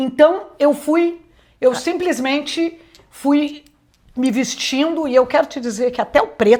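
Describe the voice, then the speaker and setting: Her pitch sits high. The woman's pace is very slow. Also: ordinary pitch variation. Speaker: retired TV executive and journalism teacher. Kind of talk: interview. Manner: loud.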